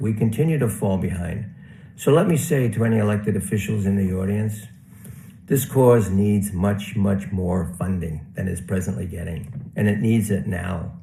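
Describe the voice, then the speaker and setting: A somewhat breathy man speaks at a fairly low pitch and moderate pace, with audible room echo around him. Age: 70s. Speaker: award honoree, housing professional. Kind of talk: acceptance speech.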